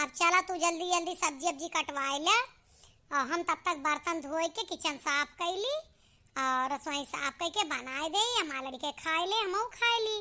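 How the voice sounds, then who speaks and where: A woman puts on a cartoonish character voice, squeaky and extremely high in pitch. She speaks at a moderate pace. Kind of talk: comic village cartoon. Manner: grumbling, complaining.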